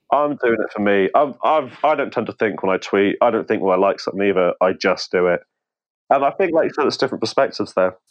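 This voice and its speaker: Someone with a British accent talks at a very fast pace with lively intonation. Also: man, medium pitch for a man. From UK. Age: 20s. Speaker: accountant, caller.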